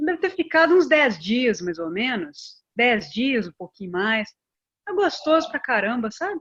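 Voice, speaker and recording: This woman's voice is high-pitched, swinging very widely in pitch as she talks at a fairly slow pace. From Brazil, Belo Horizonte (Minas Gerais). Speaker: pharmacist and biomedical researcher. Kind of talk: interview on a live stream.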